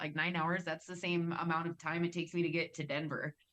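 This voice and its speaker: This woman talks at a moderate pace in a fairly low pitch, her intonation fairly even. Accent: slight Wisconsin. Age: 30s. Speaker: cannabis industry worker. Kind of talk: casual podcast chat.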